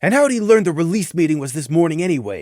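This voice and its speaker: A man uses a put-on character voice at a high pitch. He rattles along at a very fast pace. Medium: read story. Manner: measured, professional.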